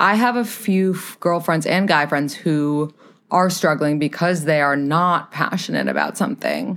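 A woman talks at a fairly slow pace in an ordinary speaking voice, fairly low in pitch with ordinary pitch variation and very even loudness. The recording is very clean, with a silent background. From New York City. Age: 20s. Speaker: podcaster and dating advisor. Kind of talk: casual chat.

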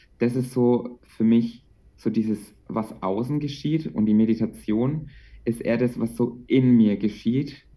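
Speaking at a fairly slow pace, a man uses a medium-pitched, dark, mellow voice with fairly even intonation. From Franconia, Bavaria (Bamberg). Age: 20s. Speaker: childcare worker and meditation coach. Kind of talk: casual interview.

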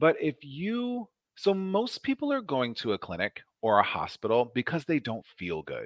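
On a very clean recording with a silent background and a dry, close sound with no echo, a man with an American accent speaks at a moderate pace. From Nebraska, US Midwest. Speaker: nurse practitioner. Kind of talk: casual interview chat about health. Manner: lively, humorous.

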